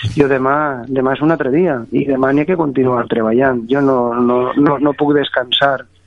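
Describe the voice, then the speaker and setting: Despite noticeable background noise, a man's medium-pitched voice runs with hardly any pauses, fairly even intonation and very even loudness. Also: fairly slow pace. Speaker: mayor. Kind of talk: phone interview.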